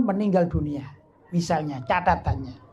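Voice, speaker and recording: A man is speaking. Room echo can be heard. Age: 50s. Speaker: Islamic cleric. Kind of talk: sermon. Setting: religious gathering with audience. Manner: conversational, asks audience questions.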